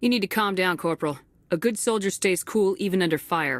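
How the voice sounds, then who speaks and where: Putting on a character voice, a woman speaks at a medium pitch with ordinary pitch variation and very even loudness, on a very clean recording with a silent background. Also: fairly quick pace. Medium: video game. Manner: calm, steady.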